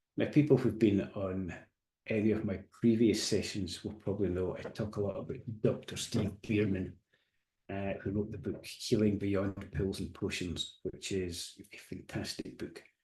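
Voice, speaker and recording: A man's somewhat breathy, dark, mellow voice, fairly low in pitch, with fairly even intonation at a moderate pace. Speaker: coach and hypnotherapist giving a webinar. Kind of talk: recorded webinar presentation. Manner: soft-spoken.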